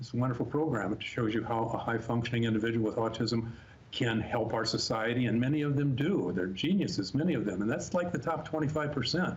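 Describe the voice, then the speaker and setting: In a room with audible echo, a man speaks very fast at a medium pitch, somewhat breathy, with ordinary pitch variation and very even loudness. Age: 70s. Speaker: special education professional. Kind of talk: interview.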